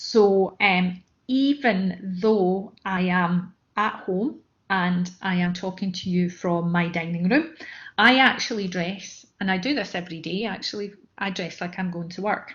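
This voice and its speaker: Pitch varies in an ordinary way, and the speech goes fairly slowly. There is a somewhat breathy quality to it. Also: woman, medium pitch for a woman. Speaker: mentoring session trainer. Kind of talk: online training talk. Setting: online session from home dining room. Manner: hesitant with fillers.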